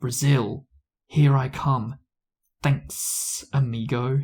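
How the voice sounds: A man puts on a character voice of medium pitch, speaking very slowly. Hissing can be heard.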